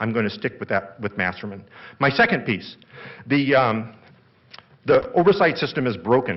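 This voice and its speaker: A man at medium pitch makes very wide pitch swings and takes long, frequent pauses. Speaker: animal rights advocate. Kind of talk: formal debate. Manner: fast.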